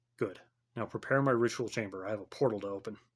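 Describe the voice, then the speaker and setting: Putting on a character voice, a man talks at a very fast pace in a fairly low pitch. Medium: read story. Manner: commanding, noncommittal.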